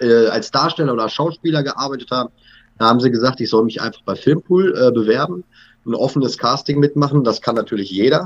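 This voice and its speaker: Spoken at a fairly quick pace with ordinary pitch variation, this is a plain, everyday voice. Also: man. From western Germany (North Rhine-Westphalia). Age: 30s. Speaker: TV actor. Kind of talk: casual chat.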